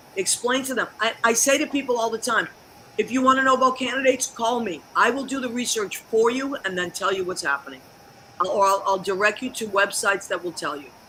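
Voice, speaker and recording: A woman speaks at a fairly quick pace and a fairly high pitch. Her tone is animated and her intonation lively. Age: 60s. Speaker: talk show host. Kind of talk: casual chat.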